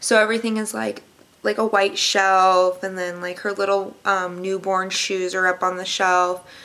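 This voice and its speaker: A woman's bright, sharp tone with fairly even intonation at a moderate pace. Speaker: pregnancy vlogger. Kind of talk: casual vlog chat. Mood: chatty, lightly amused. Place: home room. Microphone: webcam.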